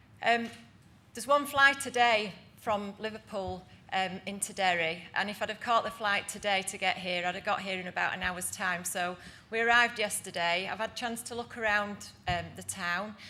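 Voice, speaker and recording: A woman with a Yorkshire accent has a bright, sharp tone, medium pitch and ordinary pitch variation. Audible room echo surrounds her voice. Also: moderate pace. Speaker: housing association director. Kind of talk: conference presentation.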